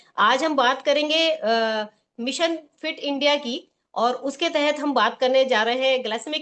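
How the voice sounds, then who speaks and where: This woman has a high-pitched voice. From Uttarakhand, India. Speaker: session host. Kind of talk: event introduction.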